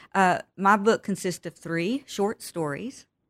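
A woman with a Texan accent and ordinary pitch variation, in a dry, close sound with no echo and a very clean recording with a silent background. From West Texas. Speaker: author. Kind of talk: interview.

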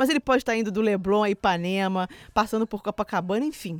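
Recorded dry and close with no echo against a silent background in a very clean recording, a woman with an unremarkable speaking voice talks at a moderate pace, fairly high in pitch with ordinary pitch variation. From Minas Gerais, Brazil. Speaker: podcast host. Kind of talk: casual chat. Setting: studio.

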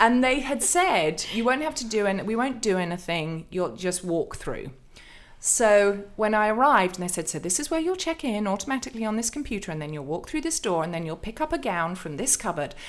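A woman with an English accent talks at a fairly quick pace and fairly high pitch, with very wide pitch swings, in a very clean recording with a silent background. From England. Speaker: author and pastor. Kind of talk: interview.

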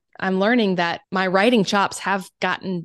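A woman with a Southern US accent speaks at a moderate pace. The sound is dry and close with no echo, over a quiet background. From South Carolina. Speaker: oboist, writer and creative coach. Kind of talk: casual interview.

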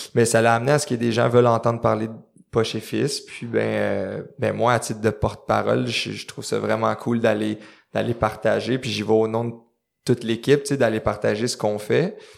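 Moderate-paced speech in a Quebec accent on a very clean recording with a silent background. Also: man. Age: 20s. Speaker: clothing company co-founder and CEO. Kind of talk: interview conversation. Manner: halting with many repetitions.

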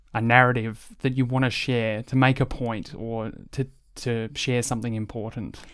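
Over a very clean, silent background, a man in an Australian accent speaks at a medium pitch with fairly even intonation. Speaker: podcast host. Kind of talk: interview. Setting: studio.

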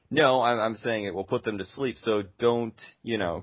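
An unremarkable speaking voice from a man, fairly low in pitch. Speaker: gaming podcast co-host. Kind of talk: casual chat.

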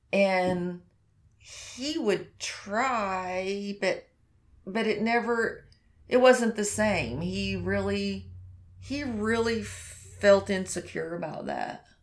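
A woman speaks at a very slow pace with an American accent. Her pauses are long and frequent. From Oklahoma, US. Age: 50s. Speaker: hairdresser and horse rider. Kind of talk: interview, casual chat.

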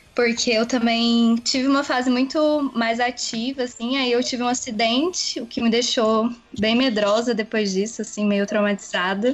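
A woman with a fairly high pitch talks at a moderate pace with fairly even intonation and hardly any pauses over noticeable background noise. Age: 20s. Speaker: pregnant cyclist. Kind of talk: casual chat.

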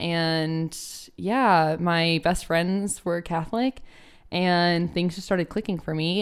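A woman with a plain, everyday voice and a fairly low pitch speaks with ordinary pitch variation on a very clean recording with a silent background. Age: 20s. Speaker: occupational therapy student. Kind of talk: casual chat.

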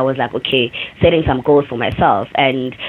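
A moderate pace and fairly even intonation over noticeable background noise. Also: woman. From South Africa, Cape Town township. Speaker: dancer and choreographer. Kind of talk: interview. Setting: remote call from New York.

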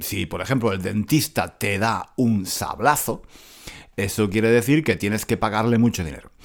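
An ordinary speaking voice from a man, fairly low-pitched with ordinary pitch variation, at a moderate pace on a very clean recording with a silent background. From Granada, Andalusia, Spain. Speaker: Spanish teacher podcaster. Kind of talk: casual monologue for language learners. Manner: many repetitions and fillers.

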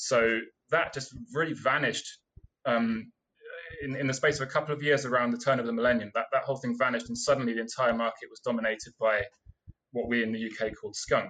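A man with a British accent talks at a very fast pace in a bright, sharp tone, his intonation fairly even. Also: medium pitch for a man. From UK. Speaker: seed collector. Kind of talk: casual interview. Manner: halting.

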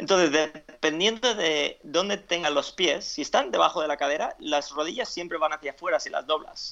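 Speaking at a moderate pace with hardly any pauses, a man uses a fairly high pitch with ordinary pitch variation. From Spain (Alicante), after early years in US and Ecuador. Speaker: fitness coach and author. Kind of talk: interview. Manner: halting, with frequent repetitions and fillers.

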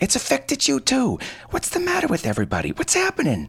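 A put-on character voice, shrill and very fast. The loudness stays very even throughout. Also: man, extremely high pitch for a man. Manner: hysterical, screeching.

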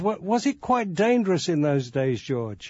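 Here a man speaks with an English accent. His pace is moderate. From England, Birmingham. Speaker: radio host and journalist. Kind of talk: interview.

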